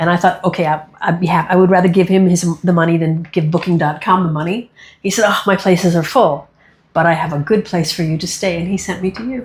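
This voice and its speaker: This woman's voice sits fairly low and is somewhat breathy. She talks at a very fast pace with fairly even intonation. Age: 60s. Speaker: magician and human rights activist. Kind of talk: interview.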